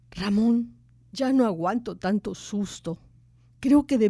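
This is an unforced reading voice. The words come across in it.

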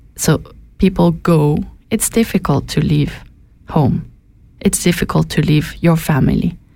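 Her voice is fairly low, dark and mellow, with vocal fry and ordinary pitch variation. The woman speaks at a fairly slow pace with very even loudness and long, frequent pauses. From Switzerland. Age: young. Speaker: anthropologist. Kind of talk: radio interview. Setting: radio studio.

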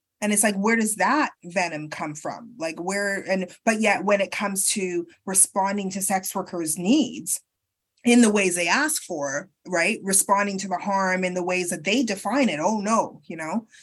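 With a Canadian accent, a woman speaks at a moderate pace in a medium pitch, somewhat breathy and with ordinary pitch variation. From Canada. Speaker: sex worker advocate and researcher. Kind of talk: interview. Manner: halting.

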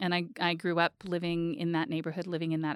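This is a normal speaking voice. It moves at a fairly quick pace. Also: woman, dry, close sound with no echo. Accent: Canadian. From Edmonton, Alberta, Canada. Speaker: foundation chief executive. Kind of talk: interview.

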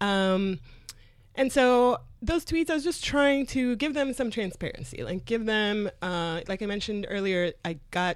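In a Spanish accent, a woman speaks at a moderate pace with lively intonation. The recording is very clean, with a silent background. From Colombia. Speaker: comedy booker. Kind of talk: interview conversation. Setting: studio.

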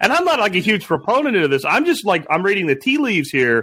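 A man's raised, projected voice has a bright, sharp tone. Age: 50s. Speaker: podcast co-host. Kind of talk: casual chat.

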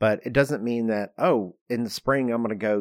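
A man with a plain, everyday voice, moderate pace and ordinary pitch variation, dry and close with no echo, on a very clean recording with a silent background. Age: 50s. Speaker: architect and podcast host. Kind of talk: casual chat.

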